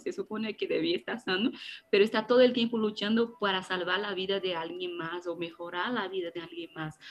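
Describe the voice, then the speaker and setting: Noticeable background noise runs through the clip. A woman talks at a fairly quick pace. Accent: Brazilian. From Brazil. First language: Portuguese (speaking Spanish). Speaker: theologian. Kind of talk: faith podcast interview.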